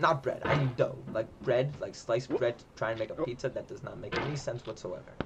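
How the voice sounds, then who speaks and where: Against noticeable background noise, a man talks in an animated tone at a fairly quick pace with hardly any pauses. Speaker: gaming streamer. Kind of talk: live gameplay commentary.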